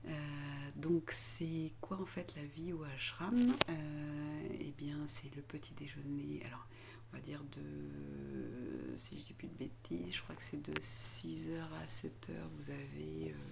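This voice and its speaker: A soft-spoken woman talks at a very slow pace with big swings in loudness, amid noticeable background noise and audible room echo. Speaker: spiritual vlogger. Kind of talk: vlog. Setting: ashram dormitory. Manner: halting.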